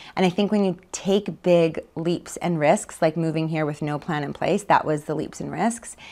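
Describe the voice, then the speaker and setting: A woman with a Canadian Prairie accent speaks at a moderate pace with hardly any pauses, her fairly low, dark, mellow voice keeping fairly even intonation. The recording is very clean, with a silent background. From Canada, Manitoba (Winnipeg area). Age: 30s. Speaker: author, speaker and charity founder. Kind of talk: casual interview.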